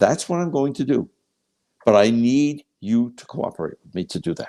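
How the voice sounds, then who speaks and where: A man with a dark, mellow tone and medium pitch speaks at a moderate pace with lively intonation and big swings in loudness. The sound is dry and close, with no echo. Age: 70s. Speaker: pathologist and product developer. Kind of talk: interview conversation.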